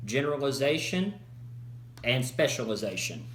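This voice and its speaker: There is audible room echo and noticeable background noise as a man with an American accent speaks at a fairly slow pace. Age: 20s. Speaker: college student. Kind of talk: class presentation. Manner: halting.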